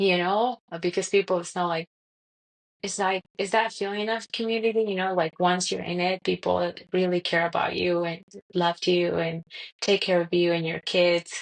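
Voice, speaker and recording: A woman's medium-pitched, monotone voice with a Colombian accent, flat intonation, moderate pace, and a dry, close sound with no echo. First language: Spanish. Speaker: podcast guest, mother. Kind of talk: casual interview chat. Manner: halting, many fillers.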